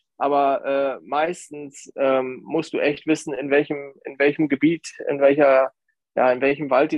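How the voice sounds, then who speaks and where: At a moderate pace, a man speaks in a monotone, flat delivery with a fairly high pitch. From Lower Saxony, Grafschaft Bentheim near Dutch border. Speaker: nature photographer. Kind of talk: podcast interview. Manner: hesitant, many fillers.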